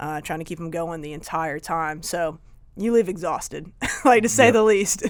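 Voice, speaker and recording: Fairly quick speech with a Southern US accent on a very clean recording with a silent background. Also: woman. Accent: Southern US (Georgia). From Northern Georgia, US. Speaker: Marine Corps veteran, strength and conditioning coach. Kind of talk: interview answer.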